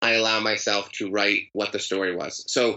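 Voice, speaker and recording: Ordinary pitch variation runs through a man's speech at a moderate pace. He has a plain, everyday voice. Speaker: author and storyteller. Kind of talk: interview conversation. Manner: conversational, storytelling.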